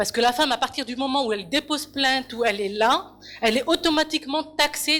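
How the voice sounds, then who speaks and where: Passionate and bright with a sharp edge, the voice moves at a fairly quick pace. Its pitch varies in an ordinary way. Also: woman. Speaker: audience member in public debate. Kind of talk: public debate contribution. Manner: halting, many repetitions.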